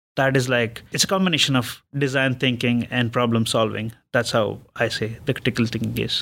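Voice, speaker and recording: Fairly quick and with hardly any pauses, the speaker uses fairly even intonation and vocal fry. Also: man, medium pitch for a man. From India. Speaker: technical project manager. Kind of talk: interview.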